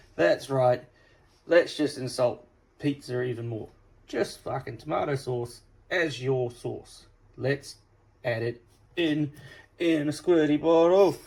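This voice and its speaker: A man with a fairly high pitch and a somewhat breathy voice speaks at a very slow pace, leaving long, frequent pauses amid ordinary pitch variation. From England. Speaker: cooking video host. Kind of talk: casual food vlog. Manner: animated.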